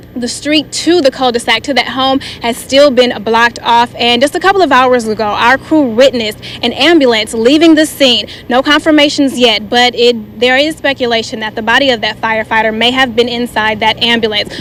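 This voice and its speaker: Over noticeable background noise, a woman with an American accent talks fairly quickly at a high pitch with ordinary pitch variation. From Michigan. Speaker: TV news reporter and weather anchor. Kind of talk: TV news field report. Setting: outdoors. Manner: energetic, personable.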